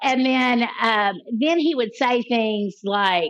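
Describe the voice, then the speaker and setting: A woman speaks very slowly in a fairly high voice, her intonation lively and full of movement. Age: 60s. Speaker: trauma therapist and abuse survivor. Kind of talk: interview testimony. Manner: halting.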